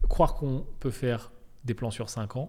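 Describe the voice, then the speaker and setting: A man speaks at a medium pitch, somewhat breathy. His intonation is lively. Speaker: podcast host. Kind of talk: solo podcast monologue. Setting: office. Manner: casual, hesitant with fillers.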